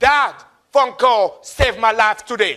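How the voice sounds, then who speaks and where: A man with a Congolese accent speaks in a raised, projected voice with a bright, sharp tone. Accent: Congolese French-African. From Republic of Congo. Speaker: motivational speaker, Marine veteran. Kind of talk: motivational speech. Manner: animated.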